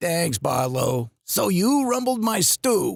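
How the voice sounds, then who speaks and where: A man puts on a character voice, pitched high and swinging very widely up and down. He delivers it at a fairly slow pace. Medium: audio drama. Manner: gruff, hesitant.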